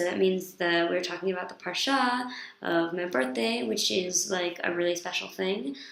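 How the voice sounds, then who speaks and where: In a room with audible echo and noticeable background noise, a woman with a fairly low pitch speaks at a moderate pace. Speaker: vlogger, yeshiva student. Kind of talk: casual video diary monologue. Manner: hesitant, many fillers.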